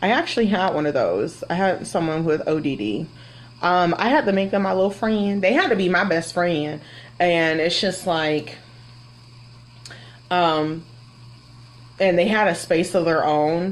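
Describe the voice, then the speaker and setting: With an American accent, a woman talks at a fairly slow pace and a fairly low pitch, keeping very even loudness and ordinary pitch variation between long, frequent pauses. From Florida. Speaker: kindergarten teacher. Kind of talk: live Q&A. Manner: casual, hesitant with fillers.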